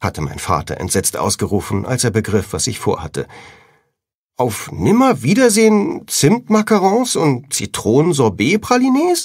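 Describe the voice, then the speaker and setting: Vocal fry runs through a man's fairly slow speech, which moves in very wide pitch swings. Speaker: audiobook narrator. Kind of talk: audiobook reading (first-person teen fantasy novel). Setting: studio.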